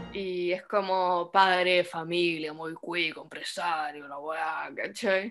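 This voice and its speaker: A woman's fairly low voice at a very slow pace, with big swings in loudness, ordinary pitch variation and hardly any pauses. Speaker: podcast co-host, theatre student. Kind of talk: casual chat.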